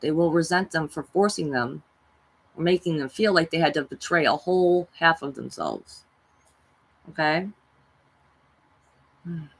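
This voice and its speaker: Her pitch fairly low and her intonation fairly even, a woman speaks at a moderate pace with long, frequent pauses. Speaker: spiritual self-help vlogger. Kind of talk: monologue talk.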